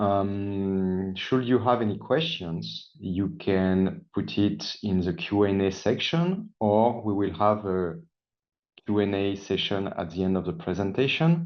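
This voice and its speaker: A man in a French accent talks at a fairly slow pace, his fairly low voice showing ordinary pitch variation. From France. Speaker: sales engineer. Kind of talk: webinar presentation.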